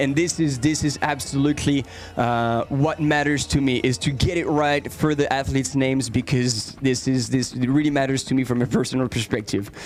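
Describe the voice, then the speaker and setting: A man with a French accent, fairly high pitch, fairly quick pace, hardly any pauses, fairly even intonation and very even loudness, over music in the background. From France. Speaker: live race commentator. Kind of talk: live commentary. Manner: halting, many repetitions.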